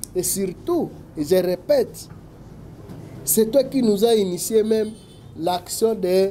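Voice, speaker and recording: A man's high-pitched voice at a very slow pace, with light background noise. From DR Congo. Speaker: political analyst. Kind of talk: talk show interview. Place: office.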